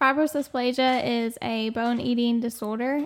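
A woman speaks in a plain, everyday voice with a fairly high pitch and fairly even intonation. The recording is very clean, with a silent background. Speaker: rare disease patient advocate. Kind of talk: casual interview.

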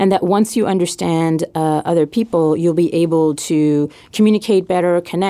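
A woman in a French accent speaks with a fairly low pitch, a dark, mellow tone and ordinary pitch variation. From Quebec, Montreal. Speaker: podcast host. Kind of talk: casual interview chat.

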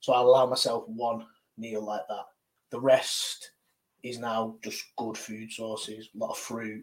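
A man with a British accent speaks fairly slowly at medium pitch in a monotone, flat way. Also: big swings in loudness. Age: 30s. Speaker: strength athlete. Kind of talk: casual chat.

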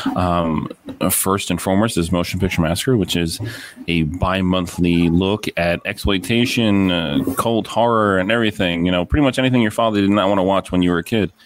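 Delivered at a fairly quick pace, the speech has very even loudness and ordinary pitch variation over noticeable background noise. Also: man. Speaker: podcaster guest. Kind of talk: casual chat.

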